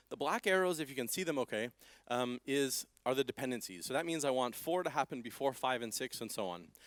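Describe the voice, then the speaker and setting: With a Canadian accent and a medium pitch, a man speaks at a very fast pace in an animated tone with lively intonation, the sound dry and close with no echo in a very clean recording with a silent background. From Canada. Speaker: software developer presenting at conference. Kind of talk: conference talk with live demo. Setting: stage with audience.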